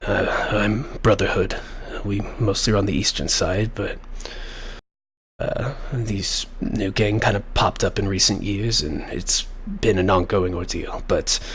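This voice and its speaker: A man puts on a raspy character voice at a fairly low pitch. He delivers it at a fairly slow pace. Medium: actual play. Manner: hesitant, halting.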